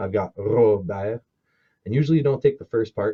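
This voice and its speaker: A man with a French Canadian accent and a dark, mellow, somewhat breathy tone. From Manitoba, Canada (French Canadian Métis family). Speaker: storyteller and cultural presenter. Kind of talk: cultural presentation, storytelling. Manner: casual, conversational with hesitations.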